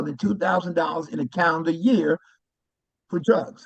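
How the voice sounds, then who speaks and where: This man speaks with an American accent. His pitch is high. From New York (Brooklyn). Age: 70s. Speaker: Medicare insurance advisor. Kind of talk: informational talk to a group.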